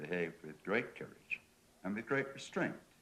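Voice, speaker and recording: Speaking with an English accent, a man uses a very deep, low pitch and lively intonation. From England. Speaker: panel discussant. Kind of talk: panel debate.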